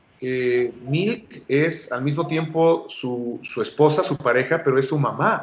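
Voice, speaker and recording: A man speaks in a plain, everyday voice, fairly high in pitch, with ordinary pitch variation. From Mexico. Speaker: voice actor, dubbing director. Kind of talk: interview answer.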